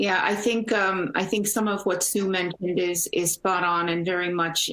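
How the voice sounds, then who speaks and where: A woman with a Portuguese accent, fairly low in pitch, with fairly even intonation. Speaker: energy company executive. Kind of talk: panel discussion.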